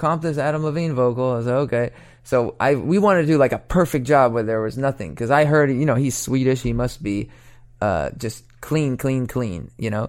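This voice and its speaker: Here is a normal speaking voice from a man with an American accent. He talks at a moderate pace in a medium pitch with ordinary pitch variation. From Oregon, US Pacific Northwest. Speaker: songwriter and record producer. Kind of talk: interview. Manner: casual, many fillers.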